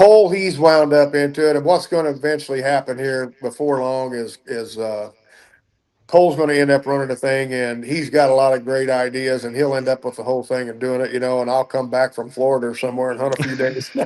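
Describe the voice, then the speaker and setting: A plain, everyday voice: a man at medium pitch, fairly quick pace and fairly even intonation. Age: 60s. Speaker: duck and goose call maker. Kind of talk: podcast interview.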